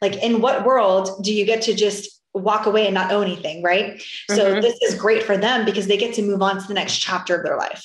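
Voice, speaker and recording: Fairly quick, monotone speech with flat intonation and an American accent, with audible room echo. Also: woman, medium pitch for a woman. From Florida. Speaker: short sale real estate business owner. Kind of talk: interview.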